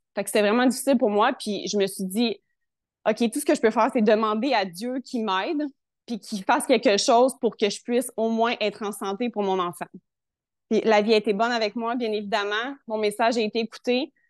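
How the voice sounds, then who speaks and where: A woman with a Quebec accent speaks at a fairly high pitch and with fairly even intonation, in a dry, close sound with no echo over a quiet background. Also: moderate pace. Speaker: health testimonial guest. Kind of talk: personal testimony.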